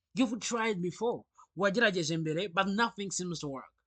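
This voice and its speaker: With a Rwandan accent, a man talks at a very fast pace in a high pitch against a quiet background. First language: Kinyarwanda. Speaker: English teacher. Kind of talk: sales pitch.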